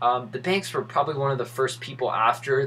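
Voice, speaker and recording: A man talks over noticeable background noise. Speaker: crypto YouTuber. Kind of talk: casual commentary video. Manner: fast; animated.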